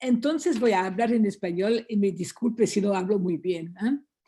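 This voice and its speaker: A woman speaks in a French accent with a fairly high pitch and a dark, mellow tone. Her intonation is lively, and the background is quiet. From France. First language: French (speaking Spanish). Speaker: lawyer. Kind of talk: conference talk. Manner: halting.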